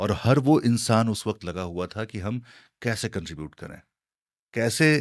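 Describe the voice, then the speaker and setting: A normal speaking voice from a man, fairly low in pitch, with ordinary pitch variation and big swings in loudness, on a very clean recording with a silent background. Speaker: radio jockey. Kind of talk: interview answer.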